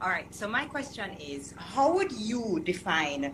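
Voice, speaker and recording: The voice swings very widely in pitch at a fairly slow pace. Noticeable background noise runs underneath. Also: woman. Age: 30s. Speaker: caller. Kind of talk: call-in question.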